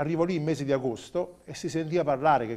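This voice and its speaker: A man speaks with a dark, mellow tone. His pace is fairly quick. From southern Italy, Campania (Avellino area); Campania, Italy. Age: 40s. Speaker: chef; interview guest. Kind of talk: interview. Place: studio. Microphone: lapel.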